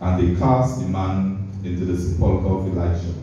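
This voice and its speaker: A man with a very deep, low pitch speaks amid strong room echo and light background noise. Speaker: preacher. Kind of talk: sermon. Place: church.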